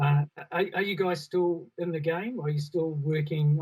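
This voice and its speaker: A somewhat breathy man with a New Zealand accent and fairly even intonation. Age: 60s. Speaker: panel moderator, sound studio owner. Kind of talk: panel discussion. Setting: online live broadcast.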